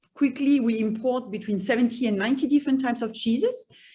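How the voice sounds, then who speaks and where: A somewhat breathy woman's voice with a slight French accent. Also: quiet background. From France. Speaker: cheese shop owner. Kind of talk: self-introduction presentation. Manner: halting, many repetitions.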